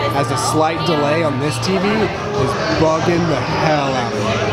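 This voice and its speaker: A man at a moderate pace over loud background music. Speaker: vlogger. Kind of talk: casual vlog chat.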